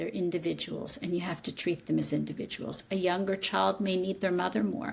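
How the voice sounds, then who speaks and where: Her intonation is lively and carries vocal fry. The woman talks at a moderate pace. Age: 60s. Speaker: psychotherapist and author. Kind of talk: interview.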